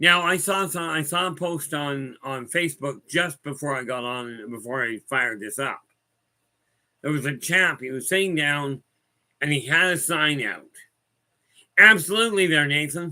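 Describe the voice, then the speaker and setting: With a bright, sharp tone and fairly high pitch, a man talks at a fairly slow pace with ordinary pitch variation and long, frequent pauses. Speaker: spiritual guide. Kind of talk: casual livestream talk.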